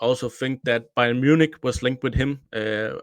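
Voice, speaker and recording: A man's medium-pitched voice with a Danish accent and fairly even intonation, on a very clean recording with a silent background. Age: 30s. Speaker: football journalist and podcaster. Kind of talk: casual podcast chat. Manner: halting.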